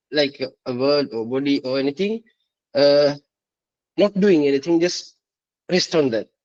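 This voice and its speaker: At a moderate pace, a man with a non-native accent talks with ordinary pitch variation in a dry, close sound with no echo. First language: not English. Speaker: participant. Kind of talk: live Q&A discussion. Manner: halting, many fillers.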